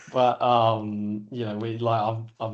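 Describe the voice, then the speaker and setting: Fairly low in pitch, a man with an Australian accent speaks in a monotone, flat intonation. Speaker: business owner. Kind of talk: podcast interview. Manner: halting, many filler words.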